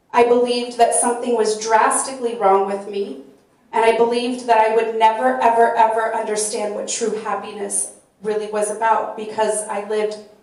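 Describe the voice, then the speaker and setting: A woman with a fairly high pitch talks at a fairly quick pace with fairly even intonation, with audible room echo around her. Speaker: peer support specialist. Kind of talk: panel discussion.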